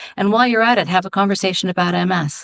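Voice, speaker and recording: Over a quiet background, a woman talks at a very fast pace with ordinary pitch variation in a dry, close sound with no echo. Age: 60s. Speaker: MS charity fundraiser and walk team captain. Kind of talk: podcast interview. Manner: halting, many fillers and restarts.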